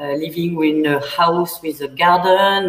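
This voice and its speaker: This woman has a fairly low pitch and speaks with a French accent. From central France. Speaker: winemaker. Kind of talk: panel interview. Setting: online livestream. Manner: halting.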